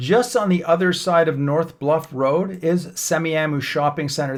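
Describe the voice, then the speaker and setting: Using an unremarkable speaking voice, a man with a Canadian accent and fairly high pitch speaks at a moderate pace in a very clean recording with a silent background. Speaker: real estate agent. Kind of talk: map tour tutorial. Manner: casual with fillers.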